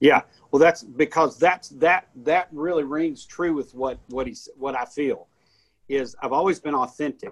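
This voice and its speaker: In a dry, close recording with no echo, a man with a plain, everyday voice speaks at a fairly slow pace, his pitch fairly high and varying in an ordinary way. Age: 50s. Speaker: pastor. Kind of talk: casual chat. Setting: studio.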